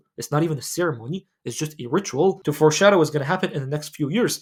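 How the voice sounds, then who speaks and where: A man speaks with a non-native accent. His pace is very fast. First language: not English. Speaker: Islamic lifestyle YouTuber. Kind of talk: casual commentary monologue. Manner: casual, filler-heavy.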